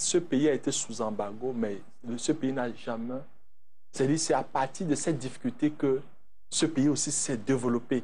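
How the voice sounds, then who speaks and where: With a dark, mellow tone and ordinary pitch variation, a man speaks at a fairly slow pace, leaving long, frequent pauses. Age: 40s. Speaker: entrepreneur and former youth organization president; interview guest. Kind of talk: TV interview. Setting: TV studio. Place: studio. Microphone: lapel.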